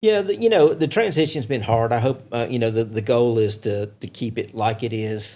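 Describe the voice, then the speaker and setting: A man with an American accent speaks at a moderate pace with hardly any pauses, his dark, mellow tone sitting at a medium pitch with ordinary pitch variation, on a very clean recording with a silent background. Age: 60s. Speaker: racing promoter. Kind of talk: casual chat.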